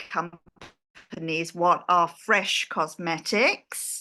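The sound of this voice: In an English accent, a woman speaks with a bright, sharp tone. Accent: British, English.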